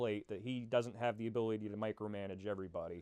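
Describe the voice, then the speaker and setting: A man speaks with fairly even intonation. The sound is dry and close, without echo. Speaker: airsoft player and field organizer. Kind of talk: interview. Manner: casual, with frequent fillers.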